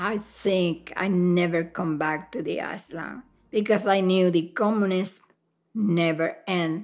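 This woman talks at a very slow pace with a Cuban accent, her pitch medium and its variation ordinary. The background is quiet. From Cuba, Havana. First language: Spanish. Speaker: immigrant sharing life story; interviewee. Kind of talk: oral history interview. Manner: halting. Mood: calm, reflective. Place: home room.

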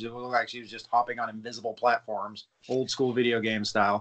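At a fairly quick pace, a man speaks with a medium pitch, a fairly bright tone and little pitch movement.

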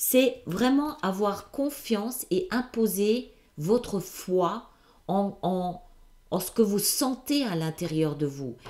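Speaking at a very slow pace with long, frequent pauses, a woman uses a medium pitch, lively intonation and a dark, mellow tone. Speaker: tarot reader, video channel host. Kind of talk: intuitive tarot reading, monologue to camera. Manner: hesitant, many fillers and repetitions.

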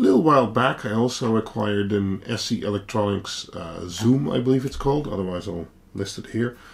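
An unremarkable speaking voice at a fairly quick pace, with ordinary pitch variation and light background noise. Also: man. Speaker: tech vlogger. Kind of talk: casual vlog chat. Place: home room. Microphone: camera far.

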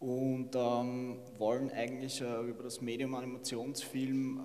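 This man speaks in a monotone with flat intonation. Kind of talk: short presentation at an award event. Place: hall. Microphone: handheld.

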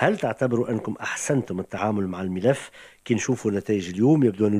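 A man's dark, mellow tone at a moderate pace, against a quiet background. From Tunisia. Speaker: radio host. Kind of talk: radio interview. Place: studio. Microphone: studio mic.

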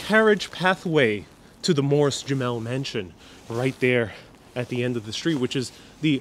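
Amid light background noise, a man talks at a moderate pace with very wide pitch swings. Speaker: live stream tour guide. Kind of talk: walking tour commentary with viewer chat replies. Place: street. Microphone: lapel.

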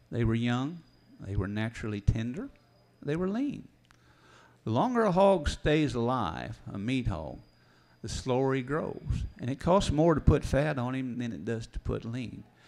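A man with a rural Missouri accent talks with lively intonation. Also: medium pitch for a man, moderate pace. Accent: Midwestern US rural (Missouri). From northeast Missouri. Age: 60s. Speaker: farmer and farm writer. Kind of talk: seminar talk. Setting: stage with audience.

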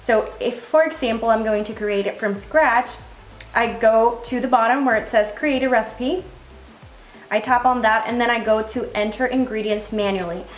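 A woman speaks at a moderate pace. There is audible room echo and faint music in the background. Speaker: fitness creator. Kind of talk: tutorial. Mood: friendly, upbeat. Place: kitchen.

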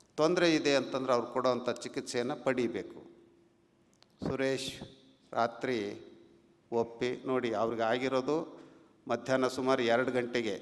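With very even loudness and fairly even intonation, a man talks at a medium pitch in an unremarkable speaking voice. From Karnataka, Haveri district (north Karnataka). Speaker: religious leader (swami). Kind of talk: public speech. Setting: stage at felicitation ceremony. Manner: measured, with frequent pauses.

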